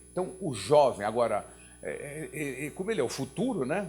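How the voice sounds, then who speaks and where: A man talks at a fairly slow pace with vocal fry and very wide pitch swings. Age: 70s. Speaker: nonprofit executive. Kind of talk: opening remarks at a talk.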